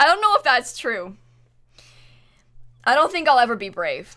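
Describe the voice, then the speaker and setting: A woman's raised, projected voice with an American accent and very wide pitch swings. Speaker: Twitch streamer. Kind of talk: live stream casual chat.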